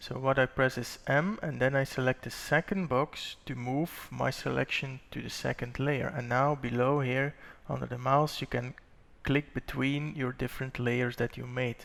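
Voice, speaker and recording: Delivered at a moderate pace with fairly even intonation, this is a plain, everyday voice. The recording is very clean, with a silent background. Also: man, medium pitch for a man. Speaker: 3D modelling instructor. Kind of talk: tutorial.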